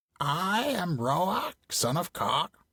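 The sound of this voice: A croaky, put-on character voice.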